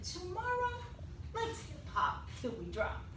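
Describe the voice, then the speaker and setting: A woman speaks at a fairly slow pace in a put-on character voice. There is a slight echo and loud background noise. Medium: read story.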